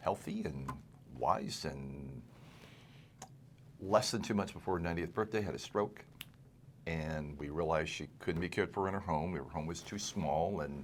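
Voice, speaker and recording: With vocal fry and long, frequent pauses, a man speaks in a very deep, low voice. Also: ordinary pitch variation, moderate pace. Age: 60s. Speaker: estate planning lawyer, podcast host. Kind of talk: casual interview.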